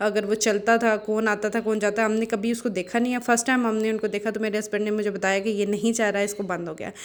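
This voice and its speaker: With hardly any pauses, a woman speaks in a flat monotone at a fairly high pitch. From Pakistan, Abbottabad. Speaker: family vlogger. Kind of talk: vlog voiceover narration. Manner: casual, with fillers.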